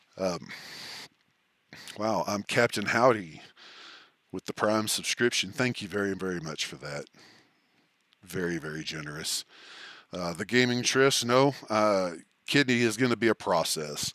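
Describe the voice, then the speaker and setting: A man with a Texan accent and fairly low pitch, moderate pace with long, frequent pauses, in a dry, close sound with no echo on a very clean recording with a silent background. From Texas. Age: old. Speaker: streamer. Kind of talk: live stream chat. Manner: scattered, halting.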